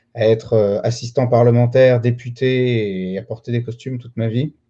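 Against a quiet background, a man speaks in a medium pitch with a dark, mellow tone, ordinary pitch variation and a moderate pace. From France, Lyon. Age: 30s. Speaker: real estate dealer and trainer. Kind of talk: interview.

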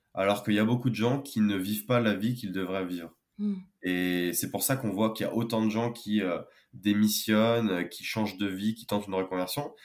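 An ordinary speaking voice at a moderate pace, fairly even in intonation, on a very clean recording with a silent background. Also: man, fairly low pitch for a man. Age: 20s. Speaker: engineer and wellbeing founder. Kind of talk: podcast interview.

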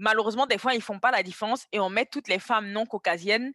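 A woman talks very fast with fairly even intonation and a bright, sharp tone. The sound is dry and close, with no echo. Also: quiet background. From Ivory Coast. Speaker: fashion model and content creator. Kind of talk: podcast interview.

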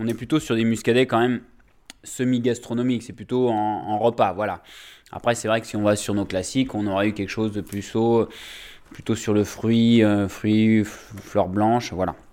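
A man speaks at a moderate pace and medium pitch. His tone is dark and mellow, his intonation fairly even. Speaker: winemaker. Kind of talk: interview in the vineyard. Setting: outdoors in a vineyard. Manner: halting, many fillers.

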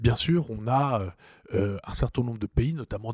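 A man speaks at a very slow pace in a somewhat breathy voice. The sound is dry and close with no echo, on a very clean recording with a silent background. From Strasbourg, Alsace, France. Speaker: energy policy think tank director. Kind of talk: expert interview.

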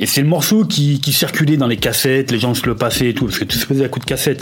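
A man speaks fairly quickly while background noise is clearly audible. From Lyon, France (Vieux-Lyon). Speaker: former rap group member. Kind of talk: casual interview.

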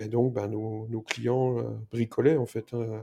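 A man's dark, mellow tone at a medium pitch, monotone, flat intonation and moderate pace, in a dry, close sound with no echo. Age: 40s. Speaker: packaging startup founder. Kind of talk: interview. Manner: halting.

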